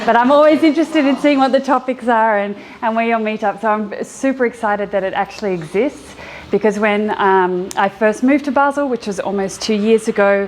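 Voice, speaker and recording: Through noticeable background noise, a woman talks at a fairly quick pace with a fairly high pitch and ordinary pitch variation. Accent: Australian. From Australia, Sydney. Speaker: educator and app founder. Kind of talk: meetup talk. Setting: meetup audience.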